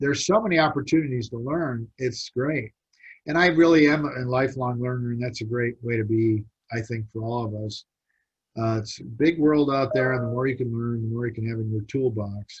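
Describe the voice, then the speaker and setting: Talking at a fairly quick pace, a man uses a medium pitch with ordinary variation and a somewhat breathy sound. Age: 60s. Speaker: business mentor and college teacher. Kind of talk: webinar presentation. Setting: online video seminar. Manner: conversational, animated.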